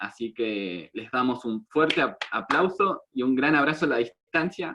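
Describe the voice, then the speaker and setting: With an Argentine accent, a man talks at a medium pitch with ordinary pitch variation. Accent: Argentine Spanish (voseo). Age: 20s. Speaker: meeting host. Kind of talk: casual chat.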